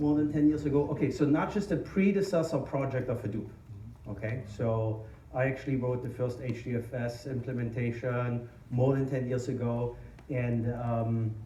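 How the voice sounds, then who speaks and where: A man at a moderate pace, with audible room echo. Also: medium pitch for a man, ordinary pitch variation. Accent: strong German. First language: German. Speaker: tech company founder and conference speaker. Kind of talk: conference talk. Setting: stage with audience. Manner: hesitant, many fillers.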